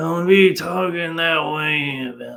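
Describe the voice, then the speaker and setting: A man uses a raspy, put-on character voice pitched fairly high. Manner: drawling, mocking.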